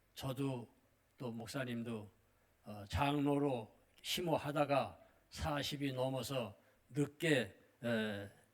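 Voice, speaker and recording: A man at medium pitch, very slow in pace, with long, frequent pauses and ordinary pitch variation. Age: 80s+. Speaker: retired missionary pastor. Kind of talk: sermon. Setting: church. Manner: halting.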